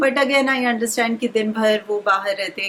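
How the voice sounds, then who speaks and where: Noticeable background noise runs behind this recording. A woman speaks at a fairly high pitch with ordinary pitch variation. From India, Bihar (Bengali family). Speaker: homemaker vlogger, mother. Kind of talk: casual vlog talk.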